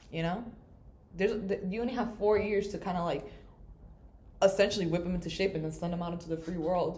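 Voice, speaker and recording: A woman talks at a very fast pace and medium pitch, with fairly even intonation and long, frequent pauses. Audible room echo and noticeable background noise fill the recording. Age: 20s. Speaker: student. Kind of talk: casual chat.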